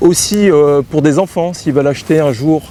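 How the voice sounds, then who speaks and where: A man talks over noticeable background noise. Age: 40s. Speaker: show jumping rider. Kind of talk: interview. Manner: halting, many fillers.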